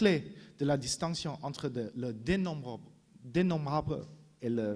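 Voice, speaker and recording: A man with a non-native accent, fairly high in pitch, somewhat breathy, with lively intonation at a very slow pace. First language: not French (speaking French). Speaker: philosopher, conference speaker. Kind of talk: conference talk. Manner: halting, frequent restarts and fillers.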